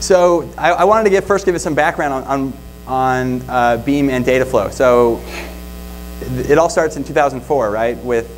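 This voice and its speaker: A man's voice at a moderate pace, with ordinary pitch variation and light background noise. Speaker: conference presenter. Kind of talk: lecture. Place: hall. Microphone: lapel.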